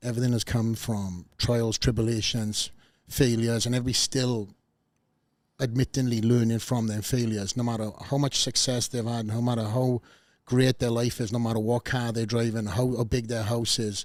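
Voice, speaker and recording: Speaking with a Welsh accent, a man holds a medium pitch in monotone, flat intonation. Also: moderate pace. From Wales. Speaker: podcast host, former bodybuilder. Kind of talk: interview podcast chat. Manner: halting, many fillers and restarts.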